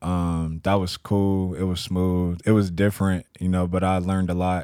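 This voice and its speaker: Flat and monotone, this dark, mellow voice carries an American accent on a very clean recording with a silent background. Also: man. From Texas, San Antonio. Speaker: entrepreneur, vintage clothing store owner. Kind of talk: casual chat.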